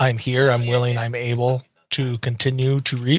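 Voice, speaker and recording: In a put-on character voice, the speaker talks at a moderate pace with monotone, flat intonation. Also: man. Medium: actual play. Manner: terse, blunt.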